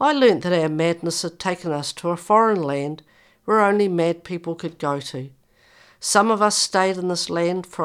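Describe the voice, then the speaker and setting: In a very clean recording with a silent background, a woman with a New Zealand accent speaks at a fairly low pitch with ordinary pitch variation. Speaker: mental health executive and author, speaking from lived experience. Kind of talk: interview, with passages read aloud from her memoir.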